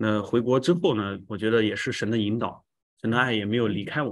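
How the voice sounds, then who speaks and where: A plain, everyday voice from a man, fairly low in pitch with fairly even intonation, at a fairly quick pace over a quiet background. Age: 40s. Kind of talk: testimony.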